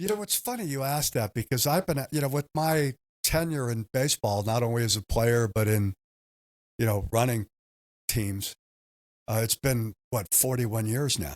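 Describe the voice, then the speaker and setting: A man with an American accent speaks at medium pitch and a moderate pace, with ordinary pitch variation and long, frequent pauses, in a dry, close sound with no echo on a very clean recording with a silent background. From Southern California. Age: 60s. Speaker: baseball team owner. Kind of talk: podcast interview.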